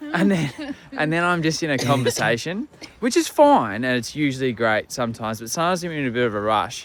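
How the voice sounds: Against noticeable background noise, a man with an Australian accent talks at a fairly quick pace, his fairly high voice carrying lively intonation.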